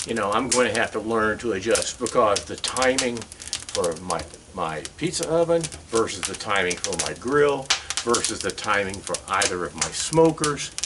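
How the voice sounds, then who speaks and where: A man talks at a moderate pace with very wide pitch swings. Noticeable background noise runs underneath. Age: 70s. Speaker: home DIY builder and cook. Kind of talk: casual tutorial. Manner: casual, halting with fillers.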